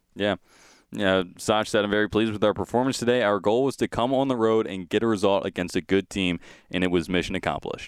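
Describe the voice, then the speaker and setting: Talking at a very fast pace, a man keeps his intonation fairly even at a fairly low pitch. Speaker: college sports radio host. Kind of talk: casual chat and interview. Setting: studio.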